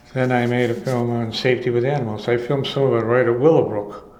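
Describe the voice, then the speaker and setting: A man's very fast, monotone, flat delivery at a medium pitch, with noticeable background noise. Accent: American. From Chicago. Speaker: retired filmstrip producer. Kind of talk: oral history interview answer. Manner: rambling, hesitant.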